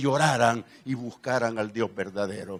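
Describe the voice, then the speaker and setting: A man's voice, dry and close with no echo. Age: 70s. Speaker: pastor. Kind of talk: sermon. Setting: church.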